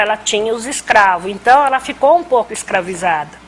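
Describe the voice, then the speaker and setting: Music plays in the background as a woman speaks at a fairly high pitch. Her pitch variation is ordinary. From Brazil, Rio Claro, São Paulo state. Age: 60s. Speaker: community elder storyteller. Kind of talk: oral history interview. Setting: conversation circle with audience.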